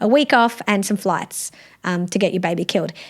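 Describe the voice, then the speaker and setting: An animated woman's voice in an Australian accent, with lively intonation and a fairly quick pace, on a very clean recording over a silent background. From South Australia. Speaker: law professor. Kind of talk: interview.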